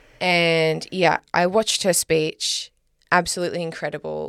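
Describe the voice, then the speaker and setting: This woman speaks with an Australian accent. Her pace is moderate. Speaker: podcast co-host. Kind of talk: casual chat.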